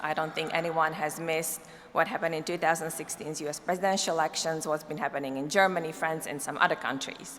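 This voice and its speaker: A very fast voice with a non-native accent, fairly even intonation and noticeable background noise. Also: woman. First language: not English. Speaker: cybersecurity policy expert, keynote speaker. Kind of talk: conference keynote.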